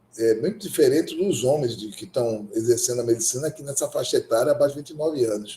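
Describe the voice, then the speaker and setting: A man's fairly high-pitched, somewhat breathy voice with a dark, mellow tone and lively intonation. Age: 60s. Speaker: gynecologist and obstetrician lecturer. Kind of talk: lecture. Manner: halting.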